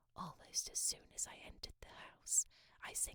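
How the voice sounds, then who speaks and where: Someone whispers at a moderate pace. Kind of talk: audiobook reading. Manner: whispered.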